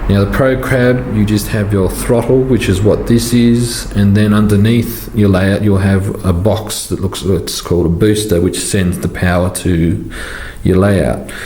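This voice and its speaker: In an Australian accent, a man speaks fairly slowly at a fairly low pitch with ordinary pitch variation. Noticeable background noise and audible room echo fill the recording. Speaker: model train hobbyist YouTuber. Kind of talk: tutorial Q&A. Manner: halting, many fillers.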